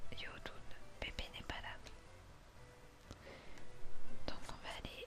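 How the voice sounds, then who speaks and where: Whispering in a relaxed tone, the speaker is heard over music in the background. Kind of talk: ASMR gaming let's play commentary. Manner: soft-spoken, relaxed.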